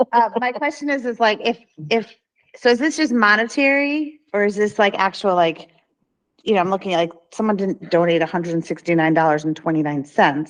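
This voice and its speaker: Her pitch swings very widely. The woman keeps a fairly quick pace. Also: medium pitch for a woman. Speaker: board of education member. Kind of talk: board meeting discussion. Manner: soft-spoken.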